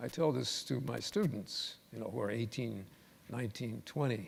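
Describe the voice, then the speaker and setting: At a moderate pace comes a normal speaking voice. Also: man. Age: 60s. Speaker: professor. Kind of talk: panel discussion.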